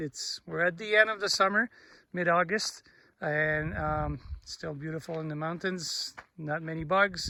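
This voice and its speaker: This man talks at a moderate pace with a French Canadian accent. His tone is bright and sharp, his pitch fairly high, and his intonation fairly even. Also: very clean recording, silent background. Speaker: mountain biking vlogger. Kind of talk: casual vlog narration while riding. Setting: outdoors on mountain trail. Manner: halting, many fillers.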